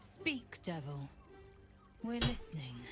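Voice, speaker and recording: A put-on character voice over clear music in the background. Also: woman. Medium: video game. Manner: curt, commanding.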